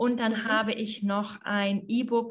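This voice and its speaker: Her voice has a somewhat breathy quality. This speaker is a woman. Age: 30s. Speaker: yoga teacher and business mentor. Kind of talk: interview conversation.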